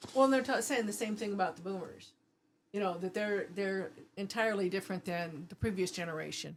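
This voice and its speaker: This woman has an ordinary speaking voice at medium pitch, moving at a fairly quick pace with ordinary pitch variation. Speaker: prepper guest. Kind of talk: casual chat.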